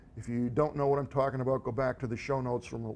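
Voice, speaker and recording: Very fast speech in a monotone, flat intonation. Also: man. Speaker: tech gadget show host. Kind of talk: casual tech show monologue.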